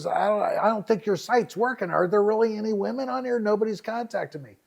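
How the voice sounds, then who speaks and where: A man puts on a character voice at a high pitch. He talks at a very fast pace. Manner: complaining.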